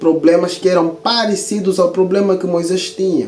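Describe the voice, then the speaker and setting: A man speaks with music playing in the background. Room echo is audible. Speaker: Bible teacher and author. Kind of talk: video lecture.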